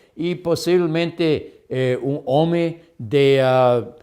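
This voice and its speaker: Here a man speaks at a high pitch with a dark, mellow tone. His pace is very slow. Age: 70s. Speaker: health lecturer. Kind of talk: lecture. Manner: halting, with self-corrections.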